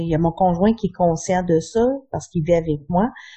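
A woman's somewhat breathy voice sits at medium pitch, with ordinary pitch variation and a moderate pace. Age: 40s. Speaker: chronic pain patient. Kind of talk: interview testimony.

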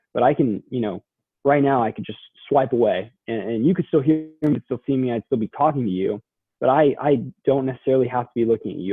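A man's ordinary speaking voice with an American accent, medium in pitch with ordinary pitch variation, at a fairly quick pace. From Texas, Dallas-Fort Worth suburbs. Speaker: college student. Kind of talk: interview.

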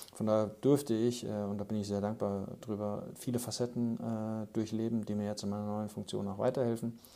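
Hardly pausing, a man with a fairly low pitch and a dark, mellow tone speaks at a moderate pace in a monotone, flat intonation. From Germany, Aschaffenburg (Lower Franconia). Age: 30s. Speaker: football executive, former professional footballer. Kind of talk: podcast interview.

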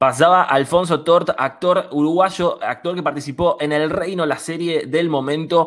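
This man has an ordinary speaking voice, pitched fairly high. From Buenos Aires western suburbs. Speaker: student radio host. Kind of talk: radio interview.

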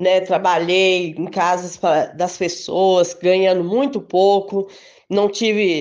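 Here a woman is speaking. Her pace is very slow. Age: 50s. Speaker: supermarket worker. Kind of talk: testimony.

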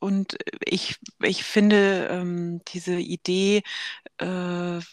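A woman speaks at medium pitch. The recording is very clean with a silent background, the sound dry and close with no echo. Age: 40s. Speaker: podcast host, sarcoma patient advocate. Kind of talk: casual conversation.

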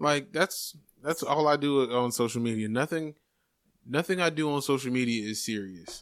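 An American man speaks at a moderate pace with ordinary pitch variation and an unremarkable speaking voice. The recording is very clean, with a silent background. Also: fairly high pitch for a man. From Jacksonville, Florida. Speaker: stand-up comedian. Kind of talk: casual chat.

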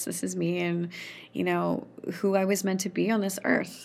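A woman with a Canadian Prairie accent speaks at a medium pitch and a moderate pace. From Saskatchewan, Canada (rural farm). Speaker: storyteller and poet. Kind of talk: casual interview chat.

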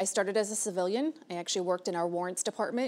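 A woman with an American accent talks at a fast pace. Her pitch is fairly low and her intonation fairly even. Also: slightly mellow tone.

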